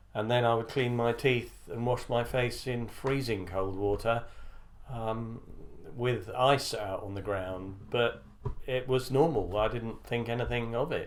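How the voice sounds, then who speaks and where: In a British accent, a man speaks at a medium pitch and a fairly slow pace with fairly even intonation. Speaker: former army officer. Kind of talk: interview answer.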